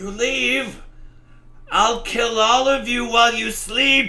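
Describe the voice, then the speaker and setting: A man shouts in a put-on character voice at an extremely high pitch. His pace is fairly slow. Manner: screaming, threatening.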